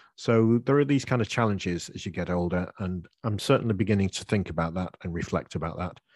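A man with a British accent, very deep and low in pitch, ordinary pitch variation, very clean recording with a silent background. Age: 60s. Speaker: English teacher and podcaster. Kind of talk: interview, answering questions.

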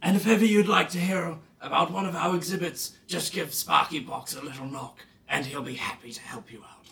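The speaker uses a put-on character voice. The pitch sits in the middle range. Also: fairly quick pace. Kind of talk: theme park presenter, showman. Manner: grand, welcoming, salesman-like.

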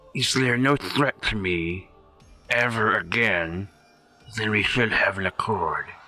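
With faint music in the background, a man puts on a raspy character voice at medium pitch, moving at a moderate pace with long, frequent pauses. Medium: actual play. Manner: regal, curt.

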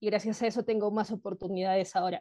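A dark, mellow voice moves at a fairly quick pace in a dry, close sound with no echo. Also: woman. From Peru. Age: 30s. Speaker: biotech entrepreneur. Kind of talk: interview.

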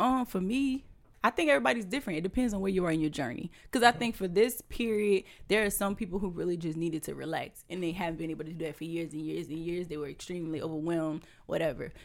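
Speaking very fast with lively intonation, a woman with a fairly low pitch comes through on a very clean recording with a silent background. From Louisiana (Houma). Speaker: entrepreneur and realtor. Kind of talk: casual interview.

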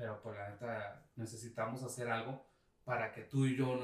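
A man with a Mexican accent speaks at medium pitch in a monotone, flat delivery. Audible room echo surrounds his voice. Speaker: podcast co-host. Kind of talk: casual chat.

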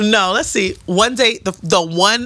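A woman's fairly low voice with ordinary pitch variation amid noticeable background noise. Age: 30s. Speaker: podcast co-host. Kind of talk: casual chat. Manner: animated.

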